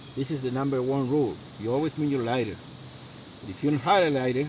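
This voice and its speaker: Over noticeable background noise, a man with a non-native accent and a medium pitch talks at a moderate pace with ordinary pitch variation. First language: not English. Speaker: outdoor survival video maker. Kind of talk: tutorial. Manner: halting, many fillers.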